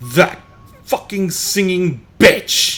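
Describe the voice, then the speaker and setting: A man puts on a guttural character voice at a high pitch. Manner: snarling, hostile.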